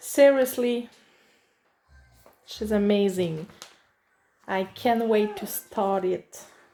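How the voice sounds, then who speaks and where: At a very slow pace with long, frequent pauses, a woman with a Quebec accent speaks at a fairly high pitch with ordinary pitch variation. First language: French. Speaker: craft hobbyist reviewer. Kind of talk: unboxing video. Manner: halting.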